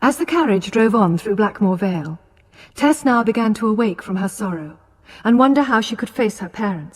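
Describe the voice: This is plain reading aloud. Nothing else stands out in the delivery.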